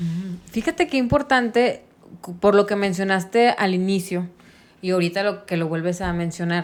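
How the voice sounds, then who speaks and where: It's a plain, everyday voice. The woman speaks at a medium pitch with ordinary pitch variation. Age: 30s. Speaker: podcast host. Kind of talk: casual chat.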